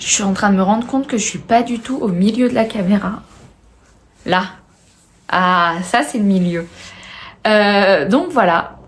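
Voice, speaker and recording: Somewhat breathy and at medium pitch, a woman speaks at a fairly slow pace with ordinary pitch variation and long, frequent pauses. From France, Haute-Savoie. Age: 20s. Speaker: knitting and sewing video podcaster. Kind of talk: casual video podcast chat. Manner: hesitant, many filler words.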